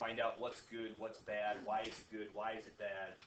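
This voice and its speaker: A man speaks at a moderate pace, and audible room echo follows his words. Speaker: high school physics teacher. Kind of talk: classroom lecture. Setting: classroom with students. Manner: loud.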